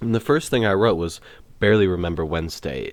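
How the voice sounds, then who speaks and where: A man speaks in a very deep, low voice. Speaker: podcast host. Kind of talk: casual monologue about a festival trip. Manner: loud; casual, filler-heavy.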